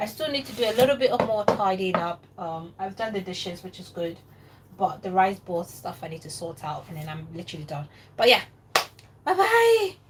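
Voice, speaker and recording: A woman's put-on character voice, raspy and medium in pitch, with lively intonation and a fairly quick pace. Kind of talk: casual, signing off. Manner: talking really fast.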